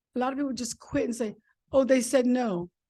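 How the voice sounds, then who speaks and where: Against a quiet background, a woman with an American accent speaks at a very fast pace in a high-pitched voice with a dark, mellow tone and fairly even intonation. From York, Pennsylvania. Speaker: retired army nurse and author. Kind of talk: talk at a club meeting.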